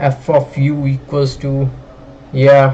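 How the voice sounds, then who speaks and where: Here a man speaks in a fairly high pitch. Noticeable background noise can be heard. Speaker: graphics programming student streamer. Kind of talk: live stream maths tutorial. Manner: casual, many fillers.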